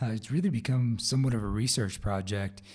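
The recording is very clean with a silent background. A man with a Midwestern accent speaks at a fairly low pitch with fairly even intonation. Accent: general American, Midwestern. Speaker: podcast host. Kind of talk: solo podcast update.

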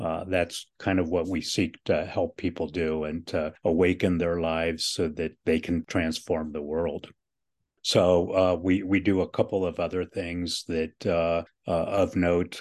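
A man's very deep, low voice in a monotone, flat delivery against a quiet background. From Cuba, raised in US from age 4. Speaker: nonprofit director, spiritual director. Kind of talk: interview.

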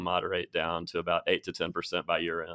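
A man with an Alabama accent talks at a very fast pace in a very deep, low voice. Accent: Southern US (Alabama). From Alabama, Birmingham. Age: 40s. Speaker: podcast host at a university real estate center. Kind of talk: casual interview. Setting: studio.

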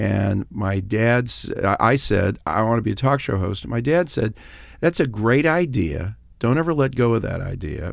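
Lively in intonation, a man with an American accent and an unremarkable speaking voice speaks at a medium pitch on a very clean recording with a silent background. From Los Angeles. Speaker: radio host and attorney. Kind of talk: casual chat. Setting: studio.

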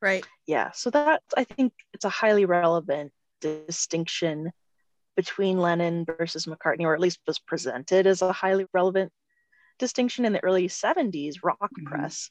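Speaking at a moderate pace, a woman with a fairly low pitch and lively intonation has a normal speaking voice, heard dry and close with no echo over a quiet background. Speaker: podcast co-host. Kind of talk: podcast interview.

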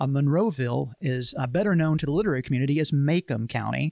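This man talks at a fairly quick pace in an Alabama accent, his fairly high voice carrying ordinary pitch variation in a dry, close sound with no echo. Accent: US Southern (Alabama). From Alabama, Montgomery. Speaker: pastor and podcast co-host. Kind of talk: casual book discussion.

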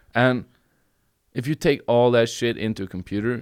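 Speaking with a Norwegian accent, a man keeps a moderate pace and ordinary pitch variation. The recording is very clean, with a silent background. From Norway, Bergen. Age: 30s. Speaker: comedian. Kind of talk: casual chat. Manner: halting.

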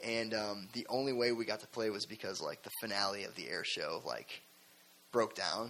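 A man with an American accent talks at a moderate pace and medium pitch, his intonation fairly even. Noticeable background noise runs underneath. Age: 20s. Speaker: rock band musician. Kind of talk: casual interview. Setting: studio.

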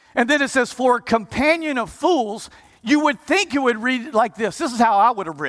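A man speaks at an extremely high pitch in an animated tone. His intonation is lively and his pace moderate. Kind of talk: sermon. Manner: animated, exhortative, with audience call-and-response; halting, repeats words while building points.

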